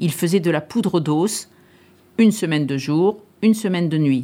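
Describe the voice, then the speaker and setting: At a moderate pace, a woman talks at a medium pitch in a dark, mellow tone with ordinary pitch variation. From Paris. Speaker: retired farm worker. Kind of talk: testimony.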